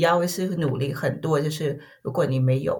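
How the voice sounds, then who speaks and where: Speaking at a very slow pace, a woman with a Vietnamese accent has a somewhat breathy voice. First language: Vietnamese (speaking Chinese). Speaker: corporate tax specialist. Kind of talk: interview. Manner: halting, many fillers and repetitions.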